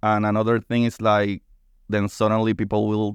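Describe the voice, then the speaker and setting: The background is quiet as a man speaks. His sound is dry and close with no echo. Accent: Spanish. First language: Spanish. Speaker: science podcast host. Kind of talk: casual chat. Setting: studio. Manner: animated.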